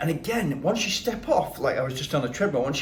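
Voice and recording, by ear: A man with lively intonation, faint background noise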